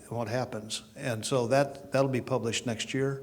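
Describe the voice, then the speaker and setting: This man speaks in a plain, everyday voice at medium pitch, with ordinary pitch variation and a moderate pace. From Oklahoma. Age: 60s. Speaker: chiropractor. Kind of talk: panel introduction.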